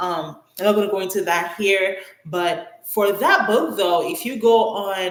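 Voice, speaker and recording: The speech comes with a Nigerian accent. It moves at a fairly slow pace. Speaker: author and editor. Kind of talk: casual livestream Q&A. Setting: YouTube livestream. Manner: halting, many fillers.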